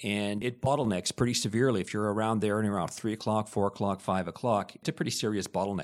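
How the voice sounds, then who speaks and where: A man's fairly low voice with a Canadian accent at a very fast pace with hardly any pauses, in a very clean recording with a silent background. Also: ordinary pitch variation. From Hamilton, Ontario, Canada. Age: 50s. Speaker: city council candidate. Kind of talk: interview.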